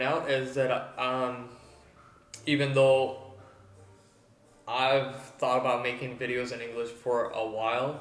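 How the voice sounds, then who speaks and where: A man at medium pitch and a fairly slow pace, with audible room echo and music in the background. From Mexico, Tijuana. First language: Spanish. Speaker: body piercer. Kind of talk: tutorial. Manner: halting, many fillers.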